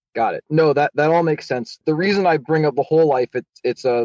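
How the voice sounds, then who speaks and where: With ordinary pitch variation, this unremarkable speaking voice keeps up a fairly quick pace. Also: man. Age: 20s. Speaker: caller. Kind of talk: call-in question.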